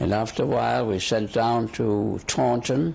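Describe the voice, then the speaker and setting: There is noticeable background noise as a man speaks in a fairly low pitch. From Germany. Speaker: war veteran. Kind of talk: oral history interview. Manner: halting, repeats words.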